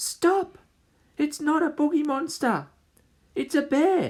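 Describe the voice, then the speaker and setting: In a put-on character voice, the speaker sounds whiny and squeaky, with high pitch and a fairly slow pace. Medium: read story. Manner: whiny, fearful.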